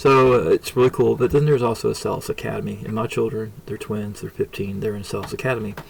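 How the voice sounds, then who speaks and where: A man talks at a very fast pace with hardly any pauses. There is noticeable background noise. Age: 50s. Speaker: homeschooling parent reviewing software. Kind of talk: tutorial. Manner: halting.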